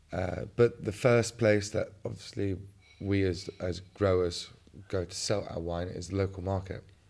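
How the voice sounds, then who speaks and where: With a southern English accent, a man speaks at a fairly slow pace. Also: fairly low pitch for a man. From England, West Sussex. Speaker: wine grower and farmer. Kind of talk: interview.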